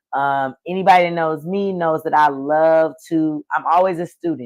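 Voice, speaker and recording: Against a quiet background, the speech carries an animated tone at a moderate pace. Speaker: livestream host and gardening event organizer. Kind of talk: casual live stream chat. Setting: live video stream. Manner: loud.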